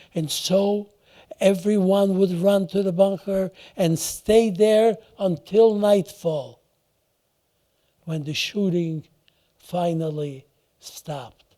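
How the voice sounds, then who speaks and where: Speaking very slowly with long, frequent pauses, a man uses a high voice with a dark, mellow tone and ordinary pitch variation. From Poland. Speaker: Holocaust survivor. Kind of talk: testimony talk to an audience.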